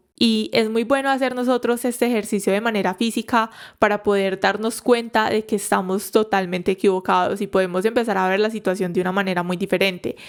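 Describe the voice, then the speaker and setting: This woman talks at a fairly quick pace with hardly any pauses, her pitch sitting in the medium range. Her tone is animated, and the very clean recording has a silent background. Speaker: psychologist podcast host. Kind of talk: solo podcast talk. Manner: fast.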